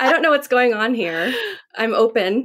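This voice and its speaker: In an American accent, a woman talks in a plain, everyday voice at a fairly quick pace. Her pitch is fairly high and her intonation lively. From San Diego, California. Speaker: podcast guest. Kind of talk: casual chat.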